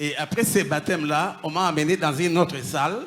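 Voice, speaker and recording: At a moderate pace, a man talks at a fairly high pitch in an unremarkable speaking voice. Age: 60s. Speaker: former occultist giving testimony. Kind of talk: testimony.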